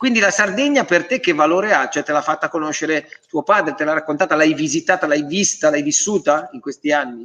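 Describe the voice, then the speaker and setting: A man talks at a fairly quick pace, his pitch fairly high for a man and his pitch variation ordinary. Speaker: quiz show host. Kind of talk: live quiz show hosting. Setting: live web TV broadcast. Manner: animated.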